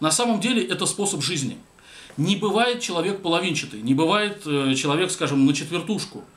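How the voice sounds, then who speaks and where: Speaking at a fairly quick pace, a man's pitch swings very widely. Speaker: commentator. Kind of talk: commentary monologue. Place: home room.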